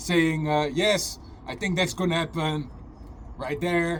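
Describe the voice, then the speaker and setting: A man with a non-native accent speaks in a fairly high voice. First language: not English. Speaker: conspiracy vlogger. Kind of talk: casual monologue rant. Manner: halting, with repetitions and fillers; animated.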